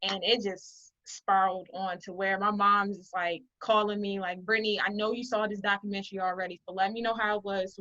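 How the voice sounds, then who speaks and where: A woman with a Baltimore accent talks at a fairly quick pace in a medium pitch with a bright, sharp tone. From Baltimore, Maryland, US. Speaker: artist and business owner. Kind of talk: interview.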